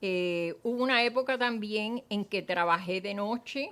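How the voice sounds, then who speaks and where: A woman with a Cuban accent speaks with ordinary pitch variation. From Cuba, Matanzas. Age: 80s+. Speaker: former teacher, Cuban exile. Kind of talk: testimony. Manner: hesitant, with frequent fillers.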